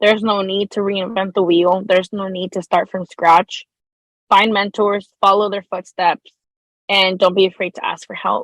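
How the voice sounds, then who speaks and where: A woman with a Spanish accent, medium pitch and monotone, flat intonation, at a moderate pace. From El Salvador. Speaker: law student. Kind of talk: podcast interview.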